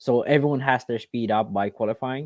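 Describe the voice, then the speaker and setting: A man with a non-native accent and a dark, mellow tone talks at a fairly quick pace with ordinary pitch variation, his dry, close sound carrying no echo over a quiet background. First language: not English. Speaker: RC racing podcast co-host. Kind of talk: casual chat. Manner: halting.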